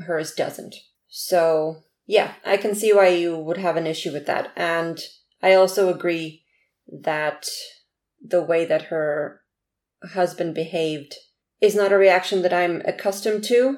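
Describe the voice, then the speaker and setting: In a very clean recording with a silent background, a woman with a non-native accent and a fairly low pitch speaks at a fairly slow pace, with fairly even intonation and long, frequent pauses. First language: not English. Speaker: podcast co-host. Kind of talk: casual chat about a book.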